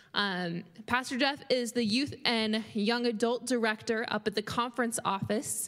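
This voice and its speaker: An ordinary speaking voice comes from a woman at a fairly high pitch and fairly slow pace, with very even loudness and fairly even intonation, recorded very cleanly against a silent background. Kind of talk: announcements. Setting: church.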